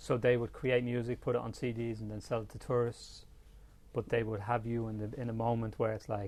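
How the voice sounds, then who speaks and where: Speaking in a Dublin accent, a man keeps a monotone, flat intonation at medium pitch and moderate pace, with long, frequent pauses. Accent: Dublin Irish. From Ireland, Dublin. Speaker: photographer. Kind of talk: interview conversation. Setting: studio. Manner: soft-spoken.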